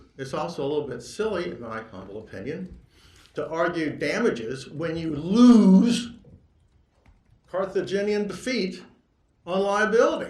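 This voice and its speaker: Audible room echo surrounds a man with a high pitch. He speaks at a moderate pace with lively intonation. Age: 60s. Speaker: lawyer. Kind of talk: court argument. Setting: courtroom. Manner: halting.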